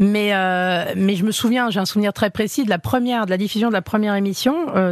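A woman with a plain, everyday voice speaks at a fairly quick pace, her pitch medium and ordinary in its variation. The sound is dry and close, with no echo. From Paris suburbs, France. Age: 40s. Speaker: chef. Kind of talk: interview.

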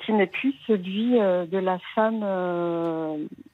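Here a woman speaks at a very slow pace with a medium pitch. Her pitch varies in an ordinary way. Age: 40s. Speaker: caller. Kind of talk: testimony. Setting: phone call. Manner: halting.

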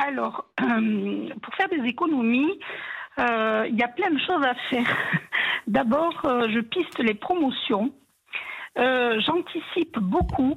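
A woman speaks at a very slow pace in a high pitch, with long, frequent pauses. Her intonation is lively. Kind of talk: casual chat. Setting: phone call.

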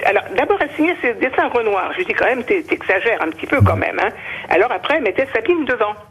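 Against noticeable background noise, a woman talks very fast in a high voice with very wide pitch swings. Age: old. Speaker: victim's mother. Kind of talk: emotional testimony.

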